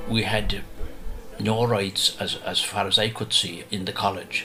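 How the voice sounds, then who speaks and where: With music playing in the background, a man with an Irish accent talks at a fairly slow pace. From Ireland. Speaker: storyteller. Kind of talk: radio interview recollection.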